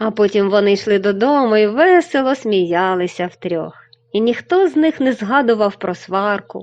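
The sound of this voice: Lively intonation in an unforced reading voice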